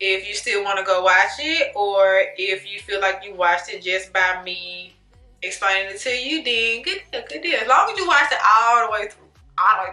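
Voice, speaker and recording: With music in the background, a woman speaks at a moderate pace and medium pitch, showing ordinary pitch variation and big swings in loudness. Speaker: YouTuber, movie reviewer. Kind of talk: casual vlog monologue, movie review. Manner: casual, conversational; stutters, self-corrects.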